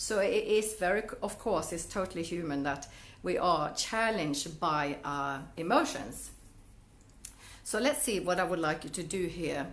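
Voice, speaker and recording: A woman with a Swedish accent speaks at a fairly slow pace in a fairly low pitch with lively intonation. Audible room echo surrounds her voice. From Sweden. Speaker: network marketing coach. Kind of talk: Facebook Live talk to viewers. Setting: Facebook Live video stream. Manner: halting, with many restarts and fillers.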